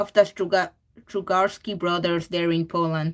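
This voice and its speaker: A woman speaks with a Spanish accent. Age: 20s. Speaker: digital artist streaming while drawing. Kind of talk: casual livestream chat. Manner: halting, with fillers and repeats.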